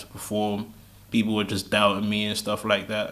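The man's voice is fairly low, with a bright, sharp tone. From England, Nigerian heritage. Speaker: spoken word artist and battle rapper. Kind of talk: casual interview.

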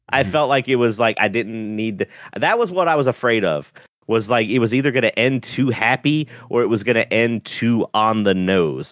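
A man with an ordinary speaking voice talks at a moderate pace and medium pitch, with ordinary pitch variation. His loudness stays very even in a dry, close sound with no echo. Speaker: podcast co-host. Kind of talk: casual chat. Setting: remote call recording.

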